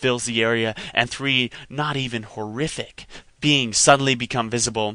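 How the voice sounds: Natural reading voice throughout.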